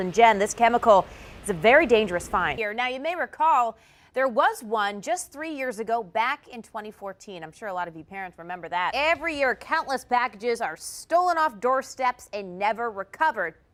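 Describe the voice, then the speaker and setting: A woman speaks in a normal speaking voice, fairly high in pitch. Her pace is fairly quick and her intonation lively. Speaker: TV news anchor and reporter. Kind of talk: TV news anchor read.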